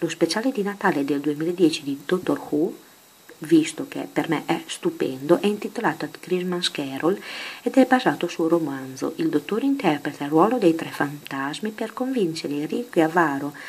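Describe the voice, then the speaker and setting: Soft-spoken and fairly low in pitch, a woman speaks at a moderate pace with lively intonation. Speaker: ASMR creator. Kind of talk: casual talk to camera.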